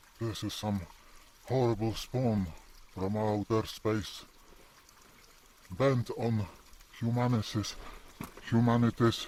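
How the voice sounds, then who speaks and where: A man at a medium pitch with fairly even intonation, a very slow pace and long, frequent pauses, amid noticeable background noise. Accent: non-native. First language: Polish. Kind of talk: casual nature vlog narration.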